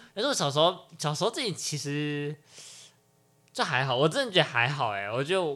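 Fairly high-pitched and lively in intonation, a man talks at a fairly quick pace. He leaves long, frequent pauses, and the recording is very clean with a silent background. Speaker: podcast host. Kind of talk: casual chat.

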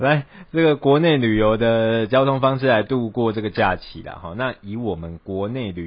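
A man's medium-pitched voice in a Taiwanese accent, with lively intonation. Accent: Taiwanese Mandarin. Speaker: podcast co-host. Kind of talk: casual chat.

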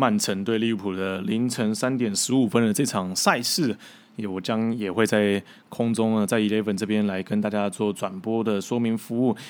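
A man speaks at a moderate pace with fairly even intonation and a fairly low pitch in an unremarkable speaking voice. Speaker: football commentator and podcast host. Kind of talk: solo podcast monologue.

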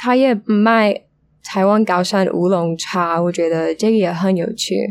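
A woman's medium-pitched voice with fairly even intonation and very even loudness. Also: fairly slow pace. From United States. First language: English (speaking Chinese). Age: 20s. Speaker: language student. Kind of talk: casual interview. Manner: halting.

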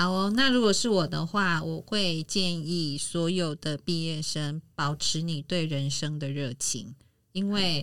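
Someone speaks at a very slow pace on a very clean recording with a silent background. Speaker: podcast host. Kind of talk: casual chat.

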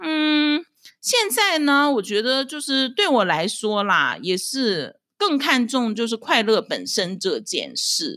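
Very slowly, a woman projects a raised voice with a high pitch, a bright, sharp tone and very wide pitch swings. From China, Dalian (northeast). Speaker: podcast host, housewife. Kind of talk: solo casual commentary.

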